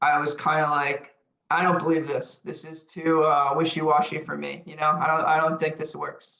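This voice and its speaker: A man with a New York accent, fairly high pitch, monotone flat intonation, big swings in loudness and a moderate pace. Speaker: lecturer on leadership. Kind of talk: lecture. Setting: webinar.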